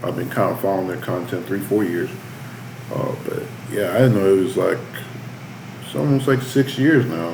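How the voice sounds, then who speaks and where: Amid noticeable background noise and audible room echo, a man with a medium pitch uses lively intonation and takes long, frequent pauses. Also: moderate pace. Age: 20s. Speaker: youtube reaction host. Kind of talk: reaction commentary. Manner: casual.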